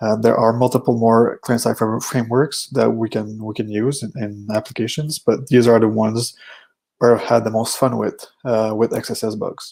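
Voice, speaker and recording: The speaker has a French Canadian accent, a moderate pace, and monotone, flat intonation. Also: man, medium pitch for a man. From Quebec. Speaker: security researcher. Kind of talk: conference talk. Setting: virtual conference. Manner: hesitant, many fillers.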